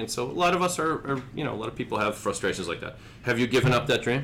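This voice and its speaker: Noticeable background noise accompanies speech delivered at a fairly quick tempo. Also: man. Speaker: podcast host. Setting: studio podcast recording with guests. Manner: jokey, conversational.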